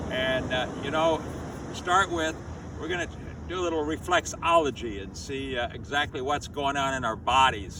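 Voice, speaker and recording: Against noticeable background noise, a man speaks at a moderate pace with a fairly high pitch and ordinary pitch variation. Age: 80s+. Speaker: qigong teacher. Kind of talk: tutorial. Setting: outdoors.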